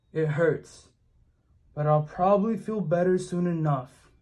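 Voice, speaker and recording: A man's high-pitched, put-on character voice. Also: fairly slow pace. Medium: read story.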